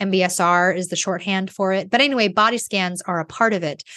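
Against a quiet background, a normal speaking voice carries ordinary pitch variation. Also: woman. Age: 40s. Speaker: life coach and podcast host. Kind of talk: solo monologue podcast. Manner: casual with frequent fillers.

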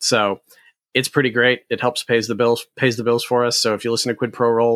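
A man talks at a fairly quick pace with a plain, everyday voice and medium pitch. The recording is very clean with a silent background and a dry, close sound with no echo. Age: 40s. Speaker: gaming events company co-founder and podcaster. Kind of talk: interview.

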